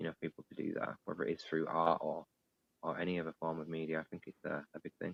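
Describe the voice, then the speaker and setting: Speaking at a very fast pace, a man with a northern English accent has a very deep, low pitch. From northern England. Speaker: digital artist. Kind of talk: interview. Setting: live online stream.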